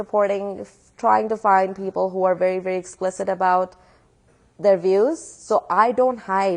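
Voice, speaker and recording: A woman with a Pakistani accent against a quiet background. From Pakistan, Karachi. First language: Urdu. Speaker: atheist activist speaker. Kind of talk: public talk with Q&A. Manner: animated.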